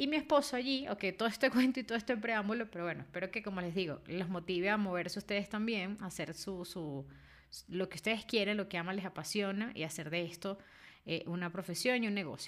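Lively intonation at a very fast pace. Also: woman, medium pitch for a woman. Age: 30s. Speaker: book editor and podcast host. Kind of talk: casual monologue. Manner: frequent fillers and repetitions.

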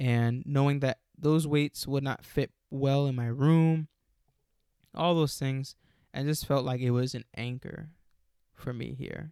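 Delivery is fairly slow with fairly even intonation, in a dry, close sound with no echo. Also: man, fairly high pitch for a man. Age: 20s. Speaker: solo podcaster. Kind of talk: solo monologue. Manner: halting, with many fillers and restarts.

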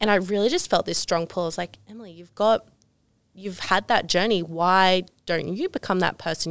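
A woman speaks at a moderate pace with medium pitch. Her pitch variation is ordinary, and the recording is very clean with a silent background. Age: 20s. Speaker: ecommerce business coach. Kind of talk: interview.

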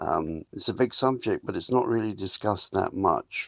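A man speaks with an English accent at a moderate pace. The sound is dry and close, with no echo. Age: 80s+. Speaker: yoga and wellness facilitator. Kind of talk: spiritual self-help talk.

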